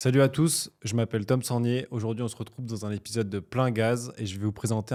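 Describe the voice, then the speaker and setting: On a very clean recording with a silent background, a man with a dark, mellow tone speaks at medium pitch, with fairly even intonation and a fairly quick pace. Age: 20s. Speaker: young entrepreneur. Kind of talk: podcast interview.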